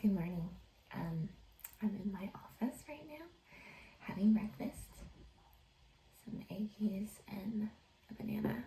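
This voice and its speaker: Over noticeable background noise, a woman speaks fairly slowly at a medium pitch, leaving long, frequent pauses. Her intonation is lively. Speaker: home renovation vlogger. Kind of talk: casual vlog. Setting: home office. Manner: soft-spoken.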